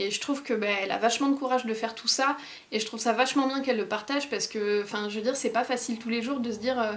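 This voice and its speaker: Talking at a very fast pace, a woman uses a fairly high pitch and fairly even intonation. Background noise is noticeable. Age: 20s. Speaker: vlogger. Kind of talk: casual vlog. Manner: hesitant, many fillers.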